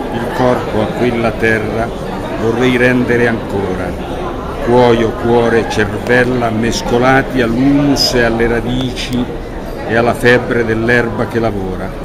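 Loud background noise sits under a man talking at a fairly slow pace. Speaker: poet. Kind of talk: poetry reading. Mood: calm, reflective. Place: street. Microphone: phone near.

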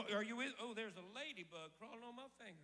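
A man with a Southern US accent speaks in a raised, projected voice. His tone is animated and his intonation lively. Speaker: preacher. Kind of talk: sermon. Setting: church with congregation. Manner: animated, rousing call-and-response preaching; declarative, driving cadence with repeated 'I declare' phrases. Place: church. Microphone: handheld.

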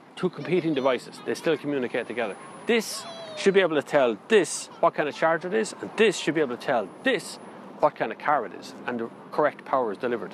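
An animated man with an Irish accent, fairly high-pitched, with very wide pitch swings, a fairly quick pace, light background noise and a dry sound with no echo. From Ireland. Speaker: car reviewer. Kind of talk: casual opinion talk to camera about electric cars. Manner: animated, ranting. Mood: opinionated, mildly exasperated. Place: street.

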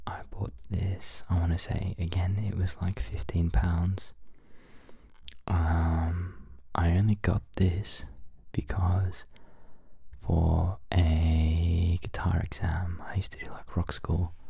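The soft-spoken voice moves at a very slow pace with long, frequent pauses. The background is quiet. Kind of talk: casual gear tour talk. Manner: soft-spoken ASMR murmur. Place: home room.

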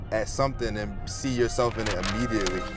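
Faint music plays behind a man who talks fairly quickly with fairly even intonation, the sound dry with no echo. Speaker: host. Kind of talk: interview conversation. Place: car. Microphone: lapel.

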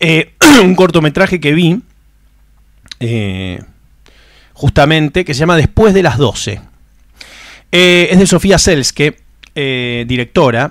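A man with a fairly high pitch speaks very slowly, with lively intonation and long, frequent pauses. The sound is dry with no echo, and the background is quiet. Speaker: film podcast host. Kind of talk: casual monologue. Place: home room. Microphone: studio mic.

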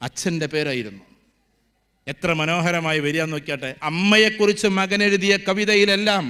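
His voice sits at a high pitch for a man. The man's pitch variation is ordinary. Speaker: motivational speaker. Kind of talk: speech at a convocation ceremony. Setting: stage with student audience, PA. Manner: animated.

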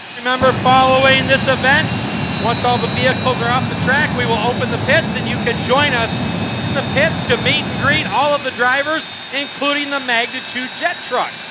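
Loud background noise sits behind the speaker. The tone is animated and upbeat, at a moderate pace. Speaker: race announcer. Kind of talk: live track commentary. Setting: outdoors at speedway, PA system. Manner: animated, excitable play-by-play; upbeat, crowd-pleasing showman. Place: stadium.

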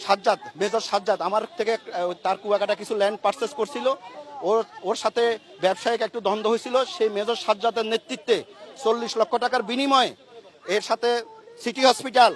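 With crowd noise behind him, a man talks at a high pitch and with fairly even intonation. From Chittagong, Bangladesh. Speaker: businessman, abduction victim. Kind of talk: testimony. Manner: emotional, halting.

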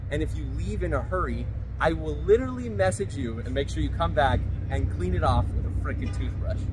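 A man's voice against noticeable background noise. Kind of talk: casual vlog chat. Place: street.

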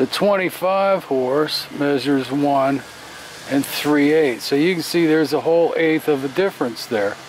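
With light background noise and a dry, echo-free sound, a man speaks with ordinary pitch variation. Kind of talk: tutorial. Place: workshop. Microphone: phone near.

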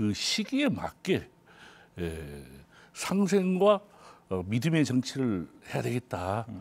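A man speaks at a very slow pace. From Jeju, South Korea. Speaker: provincial council party floor leader. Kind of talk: political panel discussion. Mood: earnest, sense of responsibility. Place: studio.

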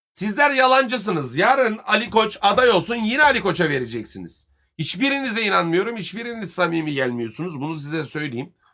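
Raised, projected male voice, bright and sharp in tone, high in pitch, with very wide pitch swings and hardly any pauses. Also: fairly quick pace. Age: 30s. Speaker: football commentator streamer. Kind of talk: live stream rant. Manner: heated.

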